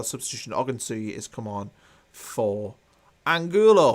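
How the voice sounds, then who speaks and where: Moderately paced, a man speaks at a medium pitch in a plain, everyday voice. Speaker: football YouTuber. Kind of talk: live watchalong commentary.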